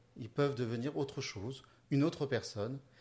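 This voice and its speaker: Somewhat breathy, this man's voice moves along at a fairly quick pace. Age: 30s. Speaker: youth holiday camp developer. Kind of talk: interview.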